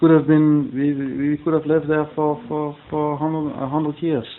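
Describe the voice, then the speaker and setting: This man has a fairly high pitch and speaks at a moderate pace. Noticeable background noise runs under the recording. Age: 40s. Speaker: interviewee, local resident. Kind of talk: interview. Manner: halting, many repetitions.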